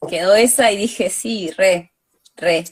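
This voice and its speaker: Medium-pitched speech from a woman, with pitch varying in an ordinary way. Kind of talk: live interview. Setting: video call.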